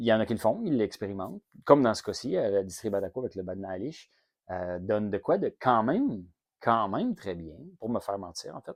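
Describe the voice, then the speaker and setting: A man with a Quebec accent talks at a fairly quick pace and fairly low pitch, with ordinary pitch variation and big swings in loudness. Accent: Québécois French. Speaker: whisky reviewer, channel host. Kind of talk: product review monologue. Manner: casual, many hesitations.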